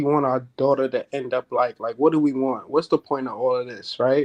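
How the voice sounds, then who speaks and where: A man in a New York accent, the sound dry and close with no echo. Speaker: father on a talk show. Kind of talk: casual chat.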